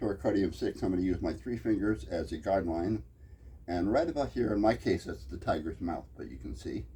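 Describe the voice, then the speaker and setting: A man speaks at a very deep, low pitch with a dark, mellow tone. Vocal fry colors his voice, and his pitch swings very widely. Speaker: acupressure teacher. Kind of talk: tutorial. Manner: fast.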